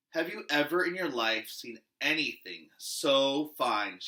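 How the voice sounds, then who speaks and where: Using a put-on character voice, a man talks at a fairly slow pace and a fairly high pitch. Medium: read story.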